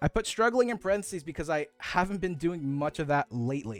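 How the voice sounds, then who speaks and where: Music plays in the background as a man talks at a fairly quick pace. His voice is fairly high, with lively intonation. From Mexican-American, US East Coast. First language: Spanish. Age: 20s. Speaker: VTuber streamer. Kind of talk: casual live stream self-introduction.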